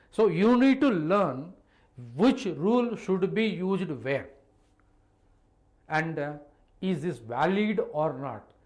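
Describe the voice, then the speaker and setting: Very slow, high-pitched speech from a man with lively intonation, amid audible room echo. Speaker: chemistry teacher. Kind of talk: online live class lecture. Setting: live online stream with chat.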